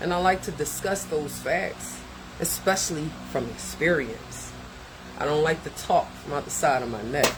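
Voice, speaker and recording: Moderately paced male speech under noticeable background noise. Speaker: content creator reacting to a therapist's video. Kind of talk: reaction commentary monologue. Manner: casual, conversational.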